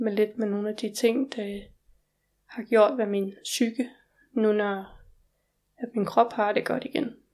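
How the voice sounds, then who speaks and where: A woman's voice, fairly high in pitch. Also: very clean recording, silent background. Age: 20s. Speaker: organ transplant recipient. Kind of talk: interview. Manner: halting.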